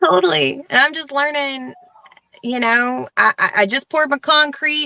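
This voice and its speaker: A woman speaks in a raised, projected voice at a high pitch, with ordinary pitch variation and a moderate pace. The sound is dry and close, with no echo. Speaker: small business owner, participant. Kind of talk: casual spiritual conversation. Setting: live video session. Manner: voice shaking slightly.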